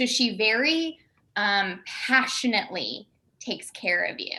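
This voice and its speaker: Bright and sharp in tone, a woman speaks at a very slow pace with a Southern US accent. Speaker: improv actor. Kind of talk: casual chat. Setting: video call.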